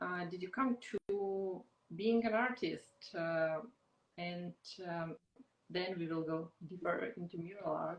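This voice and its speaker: Speaking in a non-native accent, a woman uses a fairly low pitch with ordinary pitch variation. She goes at a very slow pace with long, frequent pauses. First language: not English. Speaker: podcast host. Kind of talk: interview. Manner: halting.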